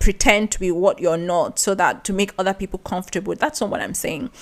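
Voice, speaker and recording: A woman with a Nigerian accent speaks at a medium pitch, her voice making very wide pitch swings. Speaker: podcast host. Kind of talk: podcast monologue. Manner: conversational.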